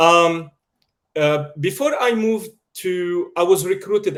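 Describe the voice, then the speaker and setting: With a strong Lebanese accent, a man talks at a fairly slow pace in a high pitch, using ordinary pitch variation. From Lebanon, Beirut. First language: Arabic/French (trilingual). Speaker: media producer. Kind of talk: interview. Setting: video call.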